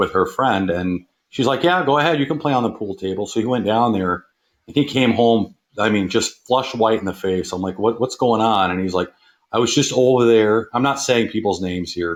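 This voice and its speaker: Pitched medium and varying in an ordinary way, this man's fairly quick speech comes in an ordinary speaking voice. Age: 50s. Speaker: caller sharing paranormal experience. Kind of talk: personal story on call-in show.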